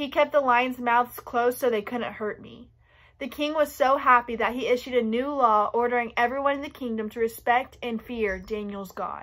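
A woman talks at a moderate pace in a high voice. Her intonation stays fairly even over a quiet background. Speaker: youth storyteller. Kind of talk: children's story reading and lesson. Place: home room. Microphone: phone near.

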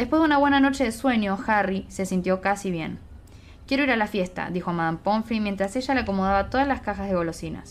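Natural-voiced reading aloud, intonation lively throughout

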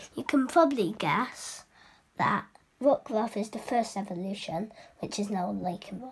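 A woman speaks at a fairly high pitch with lively intonation. Her voice is somewhat breathy, and her pace is moderate. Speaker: toy collector vlogger. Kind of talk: toy show-and-tell. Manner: halting.

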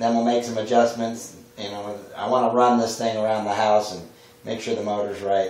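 A man's fairly low voice is heard with audible echo from the room. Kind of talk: tutorial. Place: workshop.

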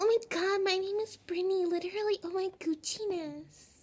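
In a put-on character voice, a female-sounding speaker goes at a moderate pace with an extremely high pitch. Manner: mocking, imitating.

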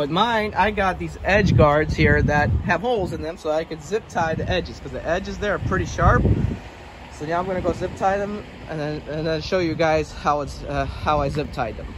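A man speaks at a moderate pace in a dry recording with no echo. Loud background noise runs behind him. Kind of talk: casual tutorial vlog. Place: street.

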